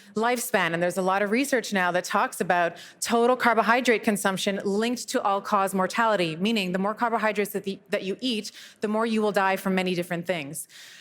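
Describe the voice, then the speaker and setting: Fairly quick speech from a woman, medium in pitch. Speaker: doctor and clinic founder giving a talk. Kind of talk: conference talk. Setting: stage with audience. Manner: fast; animated.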